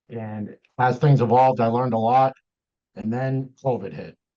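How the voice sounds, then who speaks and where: In a Massachusetts accent, a man speaks at a medium pitch. His pace is moderate. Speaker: deck building business owner. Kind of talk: interview.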